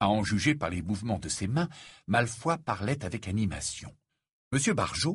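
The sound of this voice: Lively intonation marks an unforced reading voice. The background is quiet.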